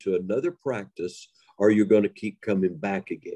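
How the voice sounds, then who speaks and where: Speaking at a moderate pace with an Appalachian accent, a man with a medium pitch and a dark, mellow tone uses lively intonation in a dry, close sound with no echo. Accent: Appalachian Southern US. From Western North Carolina. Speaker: storyteller. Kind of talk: interview.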